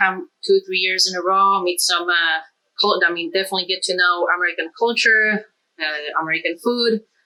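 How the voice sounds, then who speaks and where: In a Polish accent, a woman speaks at a moderate pace and medium pitch with fairly even intonation and a bright, sharp tone. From Poland. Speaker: cook. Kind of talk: casual chat; tutorial. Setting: home kitchen.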